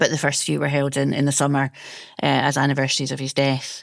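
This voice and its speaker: A woman with a Scottish accent is heard in a very clean recording with a silent background. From Scotland, Ayrshire. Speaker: food historian. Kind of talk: interview.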